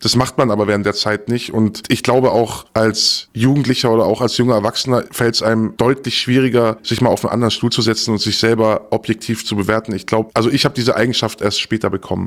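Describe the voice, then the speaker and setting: The delivery races at a very fast pace with hardly any pauses. Its intonation is monotone and flat. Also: man, medium pitch for a man. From southern Germany, Stuttgart area. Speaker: former darknet market admin. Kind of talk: interview. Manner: measured, thoughtful.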